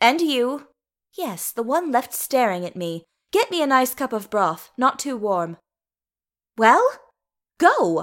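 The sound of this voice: A woman uses a put-on character voice with a fairly high pitch, a fairly bright tone and big pitch swings. She speaks at a slow pace on a very clean recording with a silent background.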